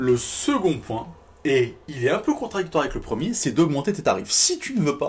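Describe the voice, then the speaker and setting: A man's fairly high voice sounds animated, with very wide pitch swings. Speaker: fitness business coach. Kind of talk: tutorial. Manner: fast.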